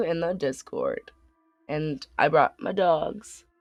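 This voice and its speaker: A woman at a very slow pace, dry and close with no echo, over music in the background. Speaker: game streamer. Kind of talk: let's play commentary.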